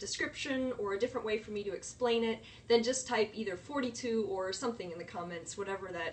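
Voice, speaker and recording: A woman's fairly high voice, with ordinary pitch variation, moves at a fairly quick pace over noticeable background noise. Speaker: science educator livestreamer. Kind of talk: live science lesson. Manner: fast.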